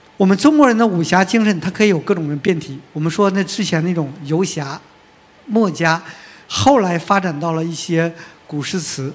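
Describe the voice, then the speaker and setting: Here a man speaks in a high pitch at a fairly quick pace. His pitch variation is ordinary. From Northeast China. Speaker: film magazine editor and panel moderator. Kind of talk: panel discussion. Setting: stage with audience.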